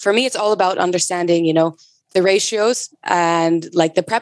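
A woman talks fairly quickly in a normal speaking voice. Her medium pitch stays fairly even. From US West Coast, San Francisco Bay Area. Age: 20s. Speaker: bar industry brand ambassador. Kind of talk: casual interview.

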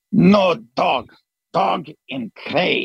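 In a Greek accent, a man puts on a raspy character voice at a high pitch, the sound dry and close with no echo.

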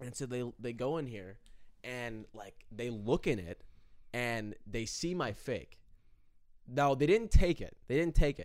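An ordinary speaking voice from a man, medium-pitched, at a fairly slow pace, with lively intonation and big swings in loudness. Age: 20s. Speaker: college student. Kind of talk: casual chat.

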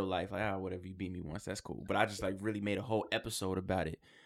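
In a New York accent, the speaker talks in a monotone, flat intonation on a very clean recording with a silent background. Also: man. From Queens, New York. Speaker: rapper and actor. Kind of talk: casual interview chat. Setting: studio.

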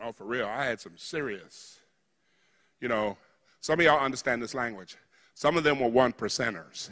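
This man has a bright, sharp tone and a medium pitch with ordinary variation, speaking at a moderate pace. His loudness swings widely, and he leaves long, frequent pauses. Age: 60s. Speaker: preacher leading a healing service. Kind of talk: sermon with healing ministry and audience participation. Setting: church with live audience. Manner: animated, informal, spontaneous.

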